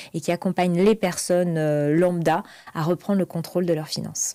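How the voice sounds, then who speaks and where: A woman's fairly low voice has a dark, mellow tone. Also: dry, close sound with no echo, very clean recording, silent background. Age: 30s. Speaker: finance coach. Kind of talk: interview.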